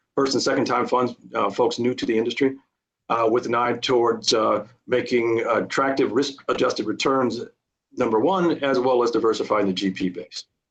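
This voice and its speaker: Fairly even intonation in a man's medium-pitched voice. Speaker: witness at tax appeal hearing. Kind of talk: testimony. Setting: video call. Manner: fast.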